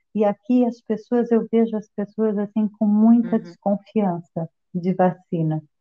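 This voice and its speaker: A woman with a plain, everyday voice speaks at a fairly high pitch and a fairly slow pace. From Brazil. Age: 50s. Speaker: interview guest, migrant. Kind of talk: interview.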